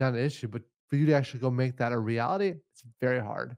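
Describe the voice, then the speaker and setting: At a fairly quick pace, a man talks in an ordinary speaking voice with medium pitch and ordinary pitch variation. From Minnesota, Forest Lake. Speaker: housing developer. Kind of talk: interview.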